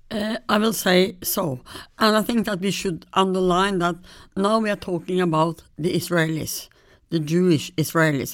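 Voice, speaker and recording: A woman with a Norwegian accent at medium pitch and a moderate pace, with ordinary pitch variation, on a very clean recording with a silent background. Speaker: history professor. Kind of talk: interview. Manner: halting.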